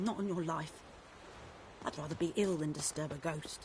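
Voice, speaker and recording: A rumbling put-on character voice at middle pitch and a moderate pace, with clear background noise. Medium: video game. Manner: grumbling.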